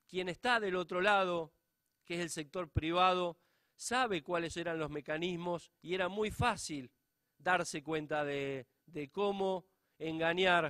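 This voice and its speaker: The recording has a dry, close sound with no echo. A man with a high pitch talks at a very slow pace, with ordinary pitch variation. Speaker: public auditor. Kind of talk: conference lecture.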